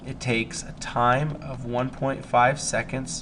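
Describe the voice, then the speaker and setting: Audible room echo surrounds a man talking at medium pitch. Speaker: high school physics teacher. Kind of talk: recorded lesson, test review.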